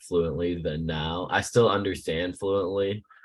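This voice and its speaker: A man with an American accent talks at a moderate pace in a very deep, low pitch. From United States. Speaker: student. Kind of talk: class discussion. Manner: casual, halting.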